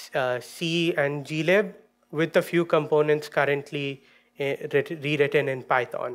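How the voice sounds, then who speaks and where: Over a quiet background, a man speaks very slowly with fairly even intonation. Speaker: conference presenter. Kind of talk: technical talk. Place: stage. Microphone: podium.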